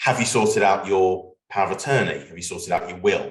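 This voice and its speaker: A man with a British accent, his voice carrying audible room echo. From UK. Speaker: legal business development consultant. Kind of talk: webinar conversation.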